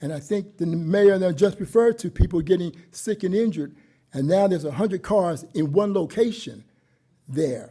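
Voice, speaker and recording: A high-pitched male voice, dark and mellow in tone, with ordinary pitch variation. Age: old. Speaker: resident speaking at public comment. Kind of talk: public comment at council meeting. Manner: fast.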